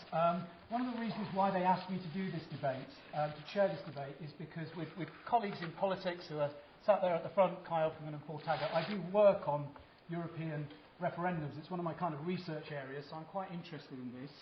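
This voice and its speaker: Speaking very fast with a British accent, a man uses a high pitch and ordinary pitch variation, and his loudness swings widely. The room echo is audible, and background noise is noticeable. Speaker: professor chairing a debate. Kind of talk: debate chairing remarks. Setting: university hall with audience. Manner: hesitant, many repetitions and fillers.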